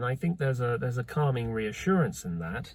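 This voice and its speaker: Lively intonation in a somewhat breathy male voice. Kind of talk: casual talk to camera. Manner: very slow.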